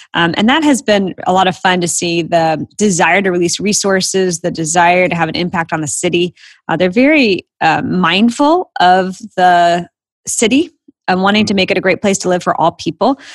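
A woman with an American accent and a normal speaking voice at medium pitch, moderate pace and ordinary pitch variation, on a very clean recording with a silent background. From Florida. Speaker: ministry organization CEO. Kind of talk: interview.

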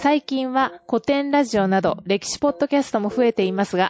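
A woman at a fairly quick pace, lively intonation, noticeable background noise behind her. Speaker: podcast host. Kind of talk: casual chat. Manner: loud; laughs often.

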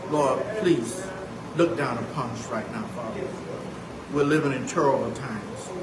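Over noticeable background noise, a man with a fairly high voice talks at a moderate pace with lively intonation. His loudness swings widely, and he leaves long, frequent pauses. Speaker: church member leading prayer. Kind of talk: fervent prayer. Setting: church. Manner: earnest, rhythmic, repeating 'Father' at phrase ends.

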